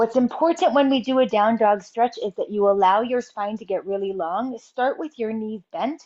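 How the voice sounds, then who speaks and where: A woman with a plain, everyday voice, fairly high pitch, ordinary pitch variation and hardly any pauses. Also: moderate pace. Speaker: fitness and posture instructor. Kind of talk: exercise tutorial.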